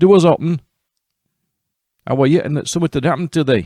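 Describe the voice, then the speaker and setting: A man with a Yorkshire accent and a dark, mellow tone is heard on a very clean recording with a silent background and a dry, close sound with no echo. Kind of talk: fairy tale storytelling. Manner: humorous, folksy.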